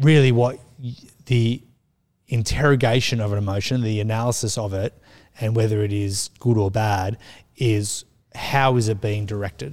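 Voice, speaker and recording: The speaker has an Australian accent and ordinary pitch variation at a moderate pace, with long, frequent pauses. The recording is very clean, with a silent background. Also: man, fairly low pitch for a man. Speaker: children's minister. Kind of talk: casual chat.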